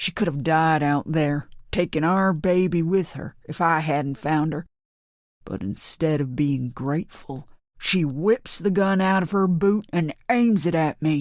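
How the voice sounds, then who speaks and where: A gruff, put-on character voice at a middle pitch speaks at a fairly slow pace in a very clean recording with a silent background. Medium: read story. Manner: gruff, aggressive.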